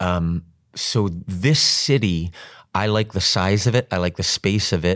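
A man with an American accent and a very deep, low pitch, ordinary pitch variation and a fairly slow pace, in a very clean recording with a silent background. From New York. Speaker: stage actor. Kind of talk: casual chat.

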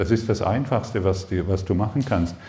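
The man's speech moves along at a moderate speed. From southern Germany, Lake Constance. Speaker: spiritual seminar teacher. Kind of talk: spiritual workshop talk. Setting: seminar room with live audience. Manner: animated.

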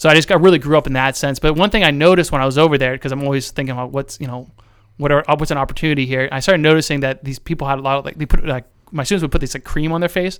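In a very clean recording with a silent background, a man with a US Midwestern accent talks at a very fast pace, his fairly high pitch carrying fairly even intonation. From central Ohio. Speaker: marketing business owner. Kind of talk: casual interview.

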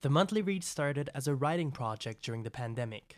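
A man with a French accent is heard on a very clean recording with a silent background. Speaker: podcast host and writer. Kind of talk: scripted monologue.

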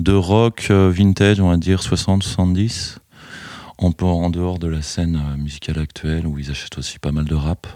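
On a very clean recording with a silent background, a man speaks very slowly in a very deep, low pitch with a dark, mellow tone and ordinary pitch variation. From France, Chalon-sur-Saône (Burgundy). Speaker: record shop owner. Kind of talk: interview. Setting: record shop.

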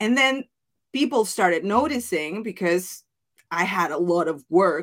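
In a very clean recording with a silent background, a woman with a Mexican accent speaks at a fairly slow pace with lively intonation. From Mexico. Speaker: business coach and former wedding planner. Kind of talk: interview podcast.

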